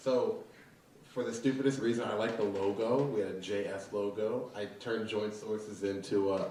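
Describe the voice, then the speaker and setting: Speaking with an American accent at a moderate pace, a man keeps a fairly low pitch and fairly even intonation amid noticeable background noise and audible room echo. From southwestern Pennsylvania (Fayette County). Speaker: tech startup founder. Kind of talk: interview. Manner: casual, filler-heavy.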